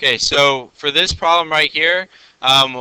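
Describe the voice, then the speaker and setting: This man speaks loudly at a fairly high pitch. His pitch varies in an ordinary way. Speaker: physics teacher. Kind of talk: classroom lecture. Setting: classroom. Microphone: mic close, loud recording.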